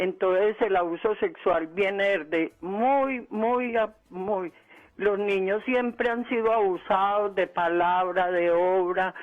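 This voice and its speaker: At a very slow pace, the speech holds very even loudness and ordinary pitch variation. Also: man, high pitch for a man. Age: 70s. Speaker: caller. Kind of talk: phone-in call. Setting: phone call. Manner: halting.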